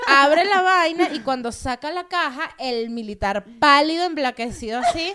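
Projecting a raised voice, a woman speaks at a fairly slow pace with a high pitch. Noticeable background noise is present. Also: lively intonation, hardly any pauses. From Venezuela, Los Teques. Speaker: comedian. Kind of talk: casual chat.

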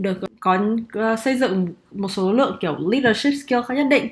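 A woman speaks in a normal speaking voice with lively intonation. Her pitch sits fairly high. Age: 20s. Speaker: management consultant. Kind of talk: casual chat.

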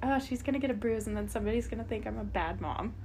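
A woman's voice with audible room echo. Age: 20s. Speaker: podcast co-host, young mother. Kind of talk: casual chat.

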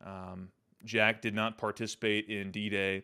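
On a very clean recording with a silent background, a man with an American accent speaks at a fairly low pitch in a bright, sharp tone. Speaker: podcast host and Army veteran. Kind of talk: solo podcast monologue. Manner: halting, many fillers and repetitions.

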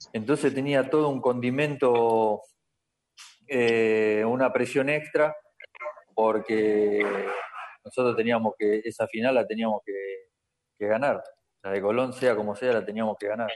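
Pausing long and often, a man speaks at a fairly slow pace and medium pitch with fairly even intonation. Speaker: former footballer. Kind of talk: casual chat. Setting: video call.

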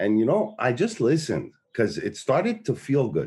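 Against a quiet background, a man with a medium pitch speaks in a dark, mellow tone with vocal fry. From Montreal, Quebec. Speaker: recovery activist. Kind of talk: casual chat. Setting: video call. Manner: halting, many fillers.

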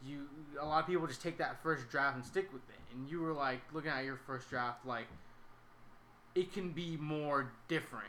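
Using an American accent and an unremarkable speaking voice, a man talks at a moderate pace and a fairly high pitch with ordinary pitch variation. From Sacramento, California. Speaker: podcast host. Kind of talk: casual chat.

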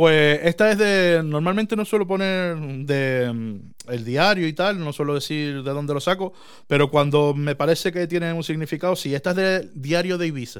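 Here a man with a plain, everyday voice speaks at a moderate pace, fairly high pitch and ordinary pitch variation. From Canary Islands. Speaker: podcast host. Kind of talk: casual chat. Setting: small room.

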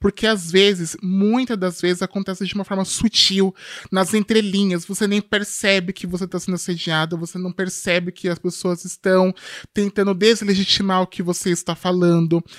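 In a dry, close recording with no echo, a woman of medium pitch speaks at a moderate pace with monotone, flat intonation. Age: 20s. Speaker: tech company executive and activist. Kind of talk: podcast interview.

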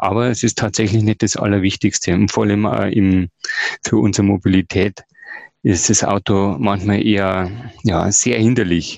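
Dry and close with no echo, a man's fairly low voice moves at a moderate pace with long, frequent pauses, fairly even intonation and very even loudness. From Ingolstadt, Bavaria. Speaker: sustainability activist. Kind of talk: podcast interview. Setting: virtual studio.

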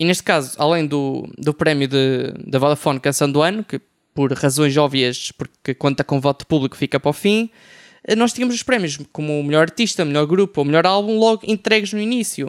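A man talks fairly quickly at a fairly high pitch, his intonation lively. The sound is dry and close with no echo, on a very clean recording with a silent background. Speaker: music writer. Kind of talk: panel discussion. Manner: halting, many fillers.

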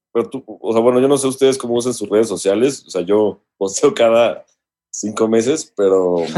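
Speaking at a moderate pace, a man has a medium-pitched voice with a dark, mellow tone. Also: ordinary pitch variation. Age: 30s. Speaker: music producer and songwriter. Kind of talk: casual chat.

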